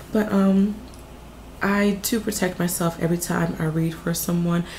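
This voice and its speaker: With audible room echo around her, a woman with an American accent speaks at a fairly slow pace and with fairly even intonation. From US South, Martinsville, Virginia. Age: 20s. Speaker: psychic reader, video creator. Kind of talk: casual Q&A monologue. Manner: casual, filler-heavy.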